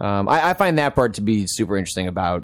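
A man with a plain, everyday voice, at a fairly quick pace. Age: 30s. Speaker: game journalist. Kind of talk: casual chat.

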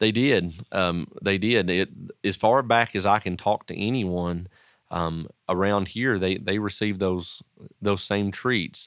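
Speaking at a fairly slow pace with an Appalachian accent, a man uses a fairly low pitch and fairly even intonation. The recording is very clean, with a silent background. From Southwest Virginia, Wise County (Appalachia). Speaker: pastor and education professor. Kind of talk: interview.

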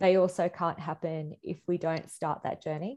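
A woman speaks in an Australian accent at a moderate pace. Her fairly low voice has a dark, mellow tone. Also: quiet background. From India. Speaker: activist and artist. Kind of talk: interview conversation. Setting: video call.

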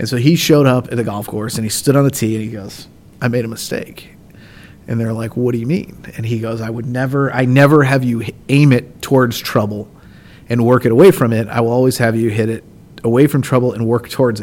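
In a normal speaking voice, a man with an American accent talks at a fairly quick pace, medium-pitched, with fairly even intonation. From Indiana, US Midwest. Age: 30s. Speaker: golf tournament director. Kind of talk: casual interview.

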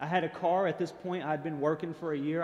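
A man with a Tennessee accent, talking at a fairly quick pace. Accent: Southern US (Tennessee). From Chattanooga, Tennessee, US South. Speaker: speaker sharing personal testimony. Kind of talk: testimony.

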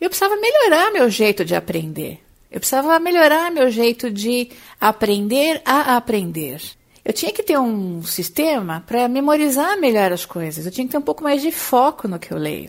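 Woman's high voice at a moderate pace, with very wide pitch swings. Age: 40s. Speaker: career coach and podcast host. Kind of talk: solo podcast monologue.

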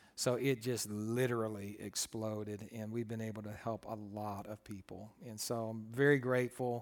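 In an American accent, a man speaks with fairly low pitch, monotone, flat intonation, a moderate pace and hardly any pauses. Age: 50s. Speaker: pastor and counselor. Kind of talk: talk to a group of students. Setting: in-person room with audience.

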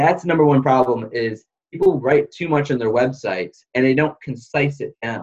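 This man has a normal speaking voice, medium in pitch, with ordinary pitch variation at a moderate pace. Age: young. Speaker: video production entrepreneur. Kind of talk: podcast interview.

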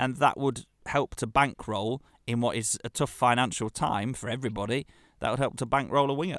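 A man with an English accent speaks at a fairly quick pace and medium pitch, with fairly even intonation. The recording is very clean, dry and close, with no echo and a silent background. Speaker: football podcast co-host. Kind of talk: casual chat.

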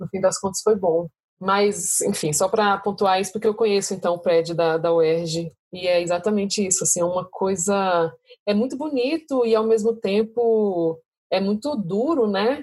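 Medium pitch, ordinary pitch variation and a moderate pace from a woman with an ordinary speaking voice. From Brasília, Brazil. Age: 30s. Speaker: doctoral student. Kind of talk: casual chat.

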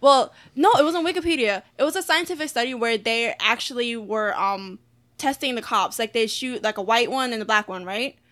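Bright and sharp in tone, a woman with an American accent speaks in a high voice. Her pace is fairly quick. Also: lively intonation. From Philadelphia, US Northeast. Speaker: podcast co-host. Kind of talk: casual chat.

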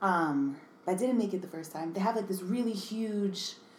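Speaking in an American accent, a woman talks at a moderate pace and medium pitch. Noticeable background noise and audible room echo fill the recording. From New York City (Bronx), then Connecticut. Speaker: designer and artist, business owner. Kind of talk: casual chat.

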